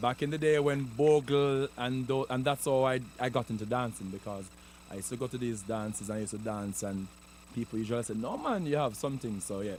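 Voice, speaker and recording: A man speaks very fast in a Jamaican accent, his pitch medium with ordinary variation. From Jamaica, rural Clarendon. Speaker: comedian and entertainer. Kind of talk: interview. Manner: halting, repeats words.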